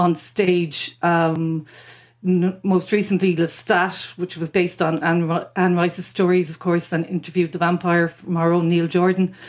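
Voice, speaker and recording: On a very clean recording with a silent background, a woman talks at a moderate pace with an Irish accent. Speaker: freelance journalist. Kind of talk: casual chat.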